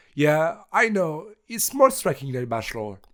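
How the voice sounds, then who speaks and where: A man speaks with a French accent at a moderate pace. The recording is very clean, with a silent background. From France, Charente-Maritime. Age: 20s. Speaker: engineering student. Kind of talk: video resume, scripted self-presentation.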